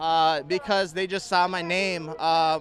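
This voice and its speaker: A man speaks at a high pitch with fairly even intonation. Noticeable background noise runs underneath. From Ukraine, raised in Minnesota from age three. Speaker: counter-protester. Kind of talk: street interview. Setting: outdoors at a protest.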